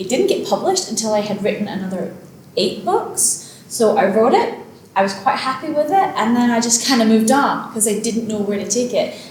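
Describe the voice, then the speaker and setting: Speaking at a fairly quick pace in a Glasgow accent, a woman uses a fairly high pitch and lively intonation, with audible room echo and noticeable background noise. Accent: Scottish (Glasgow). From Scotland, Glasgow. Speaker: author. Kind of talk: casual interview.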